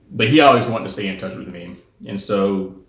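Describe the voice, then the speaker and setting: With an American accent, a man speaks in a very deep, low pitch with vocal fry, and audible room echo surrounds him. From US South. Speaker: spiritual center president. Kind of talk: personal testimony monologue. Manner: hesitant, many fillers.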